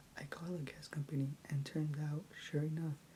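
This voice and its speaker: A soft-spoken woman with a very deep, low pitch, a dark, mellow tone and a somewhat breathy voice, at a moderate pace with monotone, flat intonation. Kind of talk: asmr story reading. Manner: soft-spoken, quiet.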